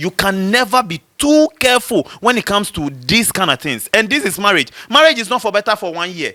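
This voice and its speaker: A man with a high pitch talks at a fairly quick pace in a raised, projected voice, barely pausing. His tone is bright, sharp and animated, with very wide pitch swings. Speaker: rapper. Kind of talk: casual debate. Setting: studio. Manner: loud.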